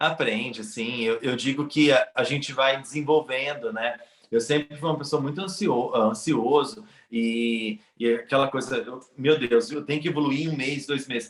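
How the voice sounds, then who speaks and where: Using an ordinary speaking voice, a man speaks at a fairly high pitch and a moderate pace, with ordinary pitch variation. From Brazil. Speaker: immigrant in Canada. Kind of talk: casual interview chat.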